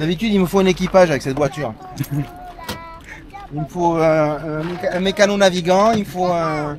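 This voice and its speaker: The speech moves at a moderate pace with long, frequent pauses, over noticeable background noise. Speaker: classic car owner. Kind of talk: casual interview answer. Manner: jokey, humorous.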